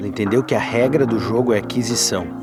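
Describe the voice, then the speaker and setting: Fairly quick male speech over background music. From Passo Fundo, Rio Grande do Sul, Brazil. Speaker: videomaker and filmmaker. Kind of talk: casual talk to camera, vlog reflection. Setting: outdoors.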